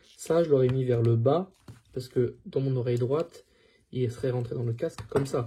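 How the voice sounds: At a moderate pace, the voice carries a dark, mellow tone with a husky, rough edge and ordinary pitch variation. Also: man, medium pitch for a man.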